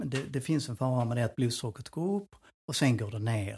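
A man at medium pitch, somewhat breathy, at a fairly quick pace with ordinary pitch variation, on a very clean recording with a silent background. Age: 60s. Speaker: personal trainer and nutrition adviser. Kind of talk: casual chat.

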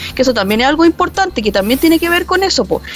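A woman talks with very wide swings in pitch. Background noise is noticeable throughout. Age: 40s. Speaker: university library staff, podcast co-host. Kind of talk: casual chat.

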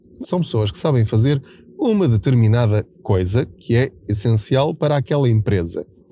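A man's dark, mellow voice with a European Portuguese accent at a moderate pace, dry and close with no echo. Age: 40s. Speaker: personal finance journalist and podcaster. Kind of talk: solo monologue podcast. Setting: in a car.

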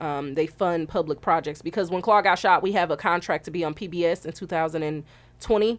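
In a very clean recording with a silent background, a woman with an American accent speaks in an ordinary speaking voice, fairly low in pitch, with ordinary pitch variation. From Milwaukee, Wisconsin. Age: 20s. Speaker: film director. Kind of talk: interview. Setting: studio.

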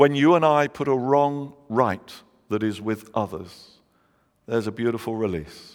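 Speaking at a fairly slow pace, a man talks in a London accent. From London, England. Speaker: pastor. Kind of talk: sermon.

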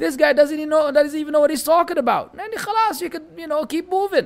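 A man talks at a very fast pace with a Lebanese accent. His pitch is extremely high, with ordinary variation. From Lebanon. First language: Arabic. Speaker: Islamic teacher. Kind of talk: religious lecture.

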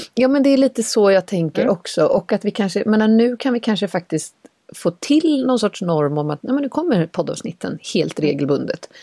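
A woman's voice with a dark, mellow tone swings very widely in pitch, recorded with a dry, close sound and no echo. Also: moderate pace. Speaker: podcast co-host. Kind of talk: casual chat. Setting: sitting in a wardrobe closet. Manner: quiet, cautious.

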